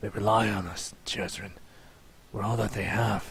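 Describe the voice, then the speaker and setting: Whispering in a raspy, put-on character voice, a man delivers the lines. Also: moderate pace. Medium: read story. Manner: shaken, whispering.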